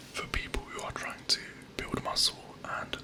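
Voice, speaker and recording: Noticeable background noise sits behind a man who is whispering. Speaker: personal trainer. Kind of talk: ASMR personal attention. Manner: soft-spoken; encouraging.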